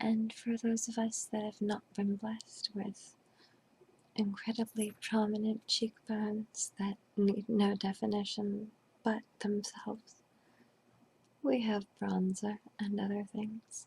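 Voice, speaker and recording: The voice is whispering and soft-spoken. It moves at a very slow pace. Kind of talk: ASMR role play. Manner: soft-spoken, whispered.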